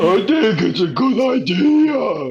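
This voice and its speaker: A man's put-on character voice, high-pitched, with very wide pitch swings. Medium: read story. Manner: airheaded, chirpy.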